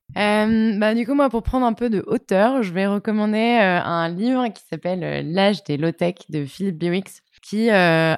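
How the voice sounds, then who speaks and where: The recording is very clean with a silent background and a dry, close sound with no echo, as a woman speaks with ordinary pitch variation. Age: 20s. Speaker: nonprofit co-president and data professional. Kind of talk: interview. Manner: hesitant, many fillers.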